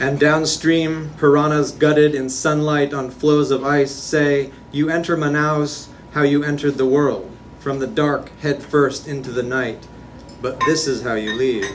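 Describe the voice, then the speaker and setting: Noticeable background noise sits behind a man's fairly high voice. He speaks at a fairly slow pace with monotone, flat intonation. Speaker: poet. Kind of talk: poetry reading. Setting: live reading venue.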